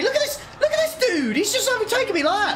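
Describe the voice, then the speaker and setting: With music in the background and audible room echo, a man speaks at a fairly quick pace in a raised, projected voice with very wide pitch swings. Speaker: sim racing streamer. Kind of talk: live gameplay commentary. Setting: live stream. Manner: animated.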